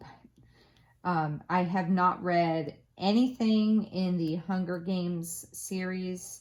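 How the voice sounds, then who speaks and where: A woman's fairly low voice with a slight Southern US accent and fairly even intonation. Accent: slight Southern American twang. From Florida, US South. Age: 30s. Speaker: craft youtuber. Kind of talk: casual chat. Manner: casual, with many fillers and restarts.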